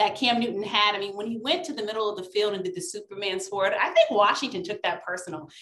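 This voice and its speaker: A woman talks at a very fast pace amid audible room echo. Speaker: sports commentator guest. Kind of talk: commentary. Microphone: video call.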